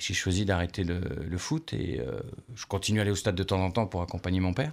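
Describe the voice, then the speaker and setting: On a very clean recording with a silent background, a man with a very deep, low pitch and vocal fry speaks at a fairly quick pace with lively intonation. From France, Lorraine (Nancy). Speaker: former football radio commentator. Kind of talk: radio interview. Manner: energetic.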